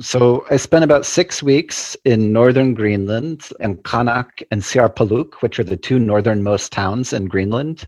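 With an ordinary speaking voice, a man talks at a medium pitch with ordinary pitch variation, fairly slowly and with hardly any pauses. The sound is dry and close with no echo, over a quiet background. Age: 40s. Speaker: psychology researcher. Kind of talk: casual chat.

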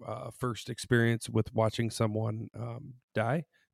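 In a very clean recording with a silent background and a dry, close sound with no echo, a man with a normal speaking voice and medium pitch talks at a fairly slow pace. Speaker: psychologist. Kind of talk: casual chat.

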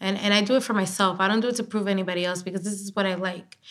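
The voice has a Spanish accent. Its intonation is monotone and flat. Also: woman. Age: 20s. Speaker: digital show host and journalist. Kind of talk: casual podcast interview.

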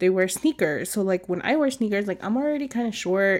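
In an American accent, a woman speaks at a moderate pace with a medium pitch and a normal speaking voice. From California. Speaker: podcast co-host. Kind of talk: casual chat.

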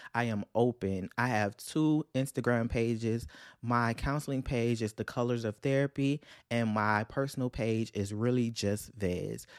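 In a very clean recording with a silent background, a man speaks with a Louisiana accent at medium pitch and a fairly slow pace, his tone animated. The sound is dry and close, with no echo. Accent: Southern US (Louisiana). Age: 20s. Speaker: podcast host, counseling graduate student. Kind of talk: casual solo podcast monologue.

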